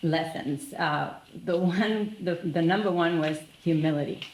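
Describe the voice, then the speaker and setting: Noticeable background noise and audible room echo accompany a woman with a Spanish accent. She speaks at a fairly slow pace. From Argentina. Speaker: business leader. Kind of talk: panel discussion.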